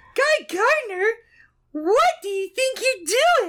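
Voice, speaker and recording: In a squeaky, put-on character voice, a female-sounding speaker talks very slowly at an extremely high pitch with very wide pitch swings. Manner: ditzy, sweet.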